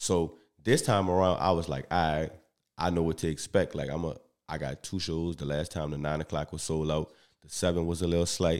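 Speaking at a fairly quick pace with a New Orleans accent, a man keeps a very deep, low pitch and fairly even intonation. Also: very clean recording, silent background. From US South, New Orleans. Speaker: comedian. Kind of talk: casual chat. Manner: even, smooth delivery.

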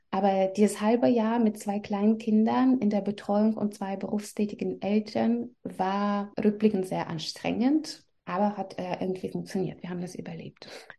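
Somewhat breathy woman, dark and mellow in tone, ordinary pitch variation, hardly any pauses. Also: medium pitch for a woman, moderate pace. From Belarus. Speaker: journalist and mother. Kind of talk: interview.

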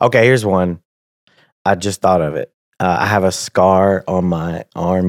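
A man's very deep, low voice with fairly even intonation, in a dry, close sound with no echo on a very clean recording with a silent background. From Tennessee. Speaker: purchasing manager and comedian. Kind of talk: casual chat.

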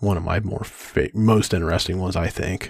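Recorded very cleanly against a silent background, a man with a very deep, low pitch and a somewhat breathy voice speaks at a moderate pace. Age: 40s. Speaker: podcast co-host, IT worker. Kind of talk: casual chat.

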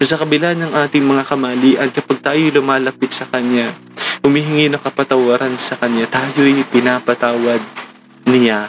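A man speaks in a monotone with flat intonation. Noticeable background noise runs under his voice. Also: medium pitch for a man, moderate pace. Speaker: preacher leading a morning devotion. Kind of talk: devotional sermon. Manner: halting, frequent stammering and repeats.

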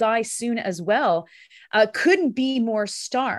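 Her accent Canadian, a woman with an unremarkable speaking voice talks at a fairly high pitch with ordinary pitch variation over a quiet background. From Canada, Ontario. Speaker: political commentator. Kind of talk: casual chat.

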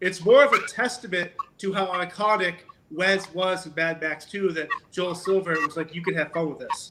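Raised, projected voice with ordinary pitch variation. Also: man. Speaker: podcast host. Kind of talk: casual interview.

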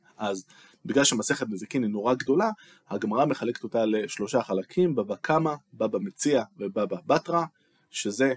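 A man speaks at a moderate pace and a medium pitch, with very wide pitch swings. The sound is dry and close, with no echo. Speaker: teacher and tech worker explaining Talmud. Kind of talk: lecture. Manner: conversational, with hesitations.

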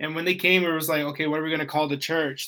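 This voice belongs to a man. It sounds bright and sharp. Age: 20s. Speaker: youth pastor. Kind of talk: casual chat.

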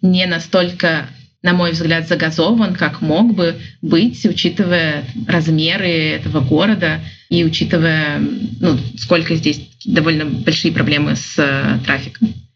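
A woman with a normal speaking voice talks at a fairly slow pace, her fairly low pitch carried by lively intonation. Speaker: business development manager and photographer. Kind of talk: interview.

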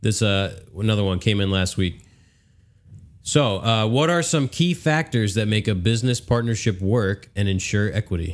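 A man with an American accent and fairly low pitch uses an ordinary speaking voice with lively intonation, on a very clean recording with a silent background. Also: moderate pace. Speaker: podcast host, woodworker.

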